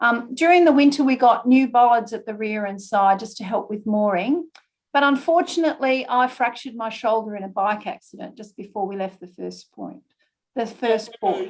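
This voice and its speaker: A woman with an Australian accent, fairly high pitch and ordinary pitch variation. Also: moderate pace. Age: 60s. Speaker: retired barge owner presenting a talk. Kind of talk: slide presentation talk. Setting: video call.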